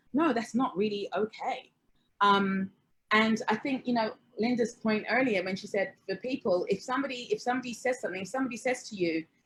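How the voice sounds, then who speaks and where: A woman with a British accent speaks very fast, her fairly high voice somewhat breathy. Her pitch varies in an ordinary way. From England, Hertfordshire (Watford). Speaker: panelist. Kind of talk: panel discussion.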